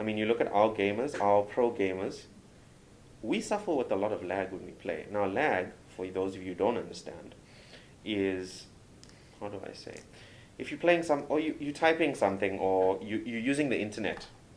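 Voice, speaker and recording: A man with a South African accent and a fairly low pitch uses lively intonation and big swings in loudness amid audible room echo. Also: moderate pace. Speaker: doctor and game reviewer. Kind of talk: interview. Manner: animated.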